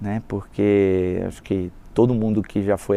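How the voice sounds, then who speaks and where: In a Rio de Janeiro accent, a man speaks at a fairly slow pace in a fairly low pitch, his tone dark and mellow and his intonation monotone and flat. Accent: carioca. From Brazil, Rio de Janeiro. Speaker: sales and marketing executive. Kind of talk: casual interview chat.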